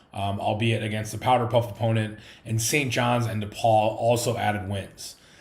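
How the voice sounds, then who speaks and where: There is audible room echo as a man speaks at a fairly quick pace, his voice somewhat breathy and his intonation fairly even. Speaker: sports podcast host. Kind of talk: sports pregame show. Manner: fast.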